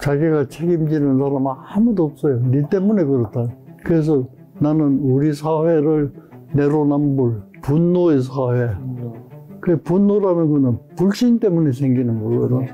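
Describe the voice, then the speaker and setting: Music plays behind a man whose pitch is fairly high and varies in an ordinary way. He speaks at a fairly slow pace with very even loudness. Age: 80s+. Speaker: psychiatrist. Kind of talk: interview answer.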